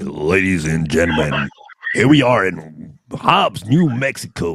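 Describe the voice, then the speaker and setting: A man's put-on character voice, very deep and low, with very wide pitch swings. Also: fairly slow pace. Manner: theatrical, booming announcer.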